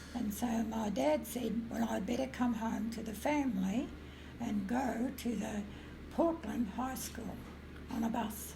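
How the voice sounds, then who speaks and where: A woman with an Australian accent at a fairly slow pace, fairly high in pitch with ordinary pitch variation, amid audible room echo and noticeable background noise. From rural Victoria, Australia. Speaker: retired music teacher. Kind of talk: interview storytelling. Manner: halting, filler-heavy.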